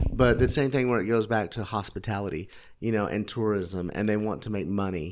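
In an American accent, a man speaks at a medium pitch with fairly even intonation. It is a plain, everyday voice. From Oklahoma. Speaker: food and travel blogger. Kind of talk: casual chat. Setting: in person, recorded in Tbilisi.

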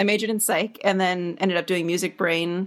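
The recording is very clean, with a silent background. A woman speaks with fairly even intonation. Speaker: podcast producer and recording artist. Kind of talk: casual interview chat.

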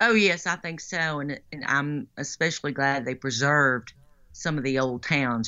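A woman with a Western Kentucky accent, at a moderate pace with ordinary pitch variation. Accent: Western Kentucky Southern US. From western Kentucky, Lyon County. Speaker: political candidate, former radio broadcaster. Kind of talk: casual interview.

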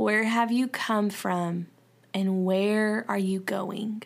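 A woman speaks very slowly in a Southern US accent, her medium-pitched voice flat and monotone over a very clean recording with a silent background. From US South. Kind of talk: devotional Bible teaching. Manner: informal, halting with fillers.

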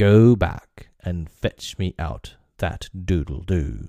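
A man's slow, put-on character voice, low for a man, with a dark, mellow tone and lively intonation, on a very clean recording with a silent background.

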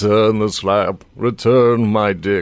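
A man puts on a character voice and speaks at a fairly slow pace. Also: fairly low pitch for a man. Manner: eerie, demanding.

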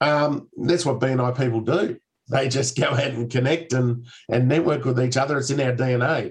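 With an Australian accent, a man talks in a somewhat breathy voice and fairly even intonation. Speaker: podcast co-host. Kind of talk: casual chat.

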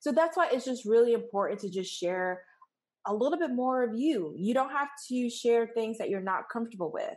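Speaking at a fairly quick pace, a woman with a normal speaking voice and an American accent uses a fairly high pitch and lively intonation. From New York. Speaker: photographer and business coach. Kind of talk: interview conversation.

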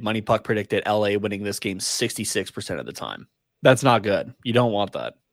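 At a moderate pace, a man uses an ordinary speaking voice, fairly low in pitch with ordinary pitch variation. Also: very clean recording, silent background. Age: 20s. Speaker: hockey podcast co-host. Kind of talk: casual chat. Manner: laughs often.

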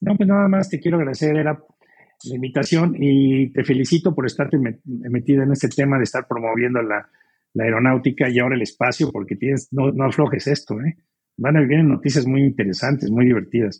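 A somewhat breathy man at a very fast pace, with ordinary pitch variation. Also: medium pitch for a man. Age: 70s. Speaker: pilot and aerospace entrepreneur. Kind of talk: interview. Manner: halting, with many repetitions and fillers.

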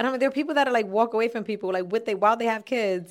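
This is a woman speaking with ordinary pitch variation. The recording is very clean, with a silent background. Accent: New York. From Bronx, New York City (Castle Hill). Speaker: comedian and former podcast co-host. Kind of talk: casual chat.

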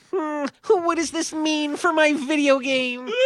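The speaker adopts a put-on character voice at a fairly slow pace. Its pitch sits high. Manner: whiny, nerdy.

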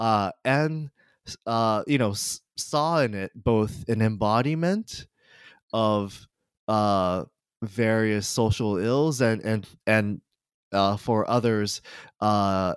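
A man speaks with a fairly low pitch and ordinary pitch variation. The sound is dry and close with no echo, on a very clean recording with a silent background. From Japan (Kanagawa), international school. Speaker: history professor. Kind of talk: interview. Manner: halting, many fillers.

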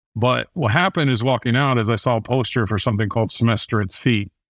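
The speaker has a Midwestern American accent and talks at a fairly quick pace with fairly even intonation. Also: man. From Indiana, US Midwest. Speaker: author and business adviser. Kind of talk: interview conversation.

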